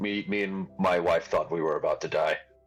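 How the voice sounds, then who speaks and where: A man uses a raspy, put-on character voice at a moderate pace. Faint music plays in the background. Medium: actual play.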